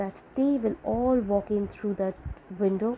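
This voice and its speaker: The woman's voice carries a dark, mellow tone. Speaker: amateur audiobook reader. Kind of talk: short story reading.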